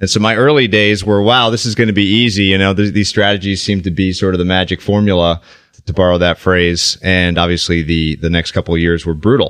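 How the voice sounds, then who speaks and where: Speaking at a fairly quick pace with an American accent, the man has a very deep, low pitch and very even loudness. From US Midwest, Minnesota. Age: 30s. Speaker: investment manager and author. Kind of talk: casual interview chat.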